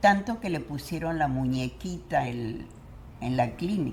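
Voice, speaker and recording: This woman's intonation is lively. She talks at a fairly slow pace. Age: 90s. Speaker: retired educator. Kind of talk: interview answer.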